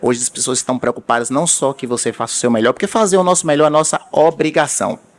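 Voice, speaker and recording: A man with a Bahian accent speaks in an animated tone. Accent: Bahian Brazilian Portuguese. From Bahia, Brazil. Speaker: vascular surgeon. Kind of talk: conference talk. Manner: animated, storytelling.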